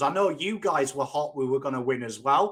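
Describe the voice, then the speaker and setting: A man with an English accent speaks with very wide pitch swings. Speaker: football YouTuber. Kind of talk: casual chat.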